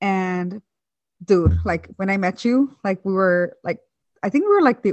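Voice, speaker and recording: The pace of this woman's speech is fairly slow. Her voice sits at a medium pitch. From San Francisco Bay Area (Hayward, East Bay). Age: 20s. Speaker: podcast co-host. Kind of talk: casual chat.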